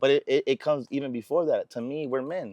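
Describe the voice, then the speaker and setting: A man with an American accent speaks at a fairly quick pace in a fairly high voice, his intonation fairly even, recorded dry and close with no echo against a quiet background. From South Central Los Angeles. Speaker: rapper. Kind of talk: casual interview.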